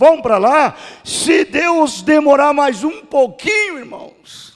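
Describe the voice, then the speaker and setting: Speaking very slowly, a man uses an extremely high pitch and lively intonation. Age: 60s. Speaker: pastor. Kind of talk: sermon. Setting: church.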